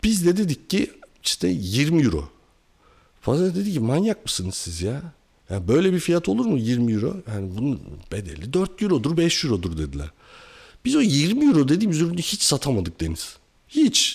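Somewhat breathy, a man talks at a moderate pace and a fairly high pitch. His pitch swings very widely. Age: 40s. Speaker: industrial engineer and entrepreneur. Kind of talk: casual chat.

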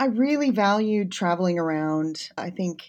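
The speaker is a woman with an American accent. The recording is very clean, with a silent background. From United States. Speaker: chemistry academic. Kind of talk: interview.

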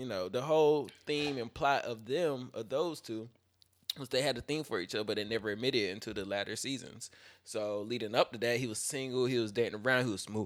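The voice carries an American accent with ordinary pitch variation. It moves at a fairly quick pace. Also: man. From Fayetteville, US South. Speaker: podcast host. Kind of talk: casual chat. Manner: mumbly, low-key.

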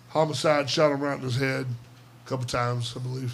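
Rushing at a very fast pace, a man with an American accent speaks in a monotone, flat intonation. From US South. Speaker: podcast host. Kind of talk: casual chat. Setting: studio. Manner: loud.

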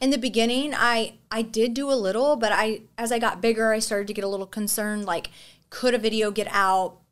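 A woman with a normal speaking voice and an American accent, fairly high in pitch, fairly even in intonation and fairly quick in pace. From Texas. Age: 30s. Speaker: content creator and former ICU nurse. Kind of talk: casual chat.

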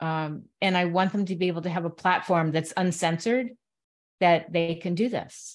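Against a quiet background, a normal speaking voice with an American accent moves at a moderate pace with fairly even intonation. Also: woman, fairly low pitch for a woman. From Connecticut, US. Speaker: radio show host and author. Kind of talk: casual chat.

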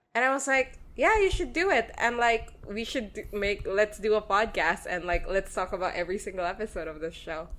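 A woman with a Filipino accent talks at a fairly quick pace. Her intonation is lively. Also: hardly any pauses. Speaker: podcast co-host. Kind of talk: casual chat.

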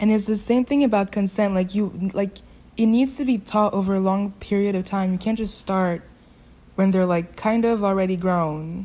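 A woman speaks with a non-native accent at medium pitch, her tone dark and mellow. Her intonation is fairly even and her pace moderate. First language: not English. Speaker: podcast co-host. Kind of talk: casual chat.

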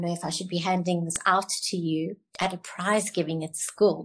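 Somewhat breathy, a woman speaks at a medium pitch. Her intonation is fairly even. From South Africa, Cape Town. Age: 70s. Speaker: beauty college founder. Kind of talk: casual interview chat.

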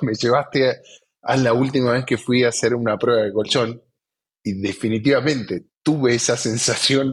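With an Argentine accent, a man talks at a fairly quick pace and a medium pitch. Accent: Argentine Spanish (Rioplatense). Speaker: podcast host, sales executive. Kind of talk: interview.

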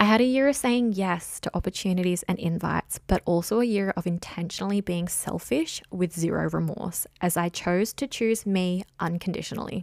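Delivered with an Australian accent at a moderate pace with hardly any pauses and ordinary pitch variation, the speech is dry and close with no echo on a very clean recording with a silent background. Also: woman, medium pitch for a woman. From Australia, south coast of New South Wales. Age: 20s. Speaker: life coach and podcaster. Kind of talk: solo monologue, personal storytelling. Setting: spare bedroom at home.

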